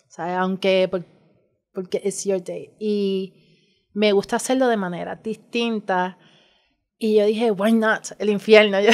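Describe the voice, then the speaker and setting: A woman talks at medium pitch in a flat monotone, very slowly, with long, frequent pauses. The recording is very clean with a silent background. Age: 40s. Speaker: drag artist and community mother. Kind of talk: casual chat.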